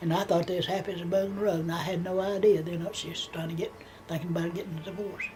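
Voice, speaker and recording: A woman at a medium pitch in a Southern US accent, talking at a fairly quick pace amid noticeable background noise and audible room echo. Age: 80s+. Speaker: grandmother telling her life story. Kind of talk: family oral history interview. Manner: halting, repeating words.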